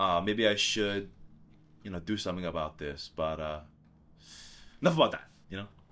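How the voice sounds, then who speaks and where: Speaking with a Hawaiian accent, a man with a very deep, low pitch and a bright, sharp tone shows ordinary pitch variation, big swings in loudness, and long, frequent pauses. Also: fairly quick pace, very clean recording, silent background. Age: 20s. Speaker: singer-songwriter. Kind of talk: documentary interview.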